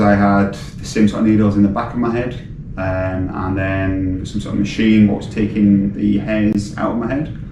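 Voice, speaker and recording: A man with a British accent speaks at a moderate pace, his fairly low voice carrying fairly even intonation. Noticeable background noise and audible room echo are present. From Britain. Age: 30s. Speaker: patient. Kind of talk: interview. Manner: hesitant, many fillers.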